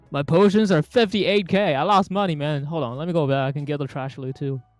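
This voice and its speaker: With music behind them, the speaker moves along at a fairly quick pace. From Malaysia (ethnically Chinese). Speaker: gaming streamer. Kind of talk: casual gameplay commentary. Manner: animated.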